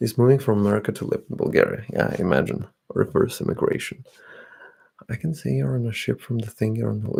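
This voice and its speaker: A man is whispering. He goes at a very fast pace. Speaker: ASMR streamer. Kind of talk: casual livestream chat with viewers. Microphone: slightly distorted audio.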